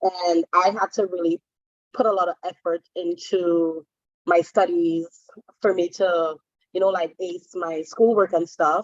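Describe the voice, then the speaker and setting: Speaking at a fairly slow pace, a woman holds a fairly low pitch with monotone, flat intonation. The sound is dry and close, with no echo. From Trinidad and Tobago. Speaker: hairstylist, guest speaker. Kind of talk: online panel discussion.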